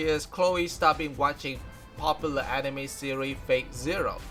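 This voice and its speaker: A man with a non-native accent speaks at a moderate pace. Music plays in the background. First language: non-native English speaker. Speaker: fan news presenter. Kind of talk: news recap narration.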